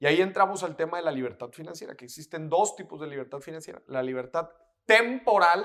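A man speaks with a high-pitched voice. His pace is fairly quick and his intonation lively. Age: 20s. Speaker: personal finance educator. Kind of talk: casual interview chat.

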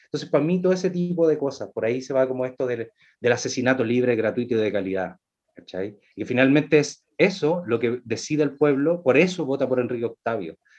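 Speaking at medium pitch, a man moves along at a fairly quick pace with lively intonation. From Chile, Valparaíso. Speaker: actor and playwright. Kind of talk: casual chat. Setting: video call.

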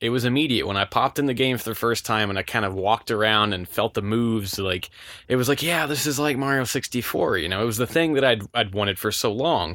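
On a very clean recording with a silent background, a man talks very fast in a bright, sharp tone with hardly any pauses. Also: medium pitch for a man, ordinary pitch variation. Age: 20s. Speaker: podcast host. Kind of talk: casual chat.

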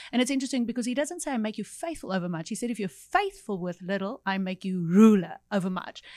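A woman talks at a very fast pace with hardly any pauses. Her voice is fairly high in pitch, with lively intonation. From South Africa, Cape Town. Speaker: evangelist, ministry leader. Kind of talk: casual chat.

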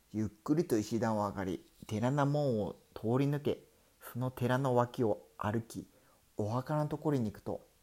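The speaker uses a natural reading voice. Pitch varies in an ordinary way.

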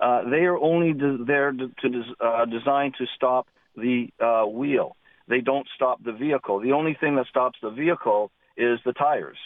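A man with an ordinary speaking voice talks at a medium pitch and a moderate pace, his intonation fairly even. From Southern Ontario, Canada. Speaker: caller with tire business experience. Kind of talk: phone-in call. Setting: phone call.

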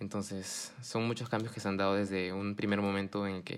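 Amid noticeable background noise, a man with a fairly low voice speaks at a fairly quick pace. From Japan (Fuji), Peruvian parents. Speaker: university student. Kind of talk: casual chat.

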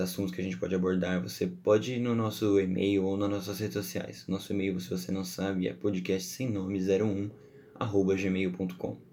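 A man's very deep, low voice, dark and mellow in tone, at a moderate pace with audible room echo. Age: 20s. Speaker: podcast host. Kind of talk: solo podcast monologue. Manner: casual, chatty.

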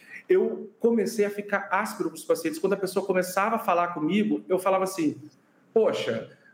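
A man talks in a high pitch over noticeable background noise. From Brazil, interior of Rio de Janeiro state. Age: 30s. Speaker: physician and burnout researcher. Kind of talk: interview.

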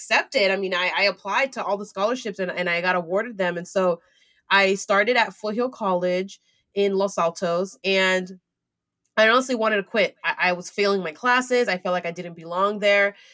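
Speaking in a Californian accent at a fairly quick pace, a woman has a medium pitch, ordinary pitch variation and a bright, sharp tone. The recording is very clean and the background silent. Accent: Californian American English. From US West Coast, San Francisco Bay Area. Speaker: entrepreneur and community founder. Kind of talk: interview.

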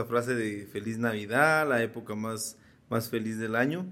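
In an unremarkable speaking voice of medium pitch, a man talks at a moderate pace with fairly even intonation. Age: 40s. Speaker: podcast co-host. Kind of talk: casual chat.

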